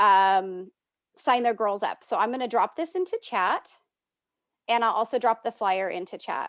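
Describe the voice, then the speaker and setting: With an unremarkable speaking voice, a woman talks at a fairly high pitch and a moderate pace with lively intonation, the sound dry and close with no echo over a quiet background. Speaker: volunteer trainer. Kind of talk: online training presentation. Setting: video call.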